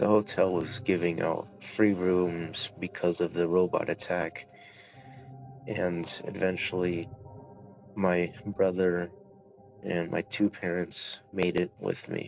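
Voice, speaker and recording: Music plays in the background as a man with a very deep, low pitch speaks at a very slow pace in a monotone, flat intonation, with long, frequent pauses. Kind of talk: casual talk to camera.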